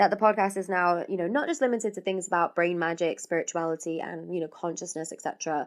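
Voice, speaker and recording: With a British accent, a woman speaks at a fairly quick pace, using a medium pitch and ordinary pitch variation. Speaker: podcast host. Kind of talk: casual podcast monologue. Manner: chatty, rambling.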